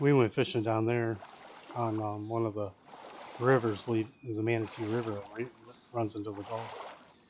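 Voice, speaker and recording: A man in an American accent, medium-pitched and monotone with flat intonation, at a moderate pace with long, frequent pauses over noticeable background noise. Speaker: gaming streamer. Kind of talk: casual chat. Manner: rambling with frequent fillers and restarts.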